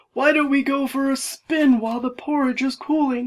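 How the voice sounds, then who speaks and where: A woman takes on a put-on character voice pitched high. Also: moderate pace. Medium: read story.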